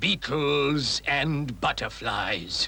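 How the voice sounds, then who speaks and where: A man does a cartoonish character voice at a medium pitch. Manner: formal, hesitant.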